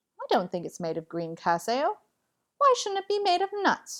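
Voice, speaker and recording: A woman uses a put-on character voice at a moderate pace. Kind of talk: bedtime story. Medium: read story.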